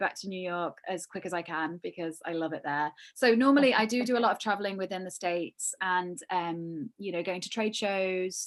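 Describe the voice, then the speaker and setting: A woman with a British accent at a fairly quick pace, with hardly any pauses, in a very clean recording with a silent background. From UK. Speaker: yarn company creative director. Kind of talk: casual interview chat.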